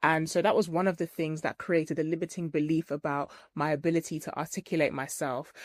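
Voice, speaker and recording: With a British accent, a woman talks very fast in a very deep, low voice, her intonation flat and monotone, the sound dry and close with no echo. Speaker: trichologist and hair care business owner. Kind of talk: interview testimony. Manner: loud.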